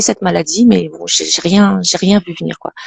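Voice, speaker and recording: A woman speaks at a very fast pace. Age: 50s. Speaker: Parkinson's patient. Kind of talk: testimony.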